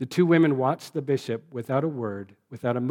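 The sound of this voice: The voice is an unforced reading voice with ordinary pitch variation. The background is quiet.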